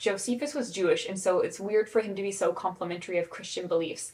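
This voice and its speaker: Her pitch is medium, and the speaker is a woman. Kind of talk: lecture. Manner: fast.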